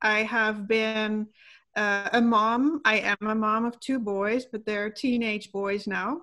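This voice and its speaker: A woman speaks very slowly in a Dutch accent. Her fairly high voice has a bright, sharp tone. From Netherlands. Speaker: wellness coach. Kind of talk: interview.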